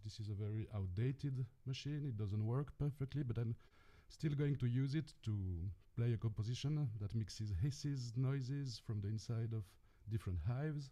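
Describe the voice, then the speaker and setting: A man with a French accent, medium pitch and a dark, mellow, somewhat breathy tone, at a moderate pace. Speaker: experimental electronic musician and sound artist. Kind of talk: self-introduction on a panel. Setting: video call from home studio.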